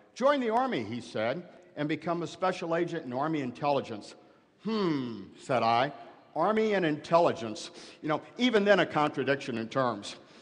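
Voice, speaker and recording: With an American accent, a man speaks at a moderate pace in a fairly high voice. His pitch swings very widely, and audible room echo is present. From US Midwest, Granite City, Illinois. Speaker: former FBI hostage negotiator. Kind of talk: commencement speech. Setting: stage with audience.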